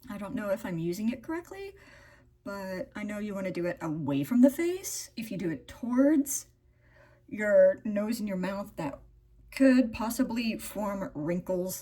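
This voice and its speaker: A woman talks at a fairly slow pace with a medium pitch and lively intonation. Her loudness swings widely. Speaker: beauty vlogger. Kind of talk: get-ready-with-me vlog. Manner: animated.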